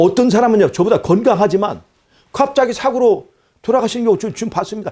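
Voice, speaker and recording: A man's high-pitched voice with ordinary pitch variation at a very fast pace. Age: 60s. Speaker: preacher. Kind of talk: sermon.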